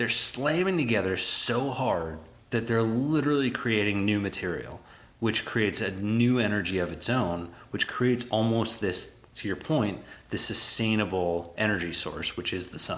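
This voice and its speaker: With a plain, everyday voice, a man talks at a moderate pace, his fairly low pitch showing ordinary variation. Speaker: podcast host. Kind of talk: casual podcast conversation.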